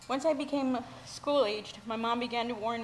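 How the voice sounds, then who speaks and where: In an American accent, a woman with a fairly high pitch speaks at a fairly quick pace with fairly even intonation, and audible room echo surrounds her voice. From Mexico, raised in the US. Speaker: church member sharing testimony. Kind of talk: testimony.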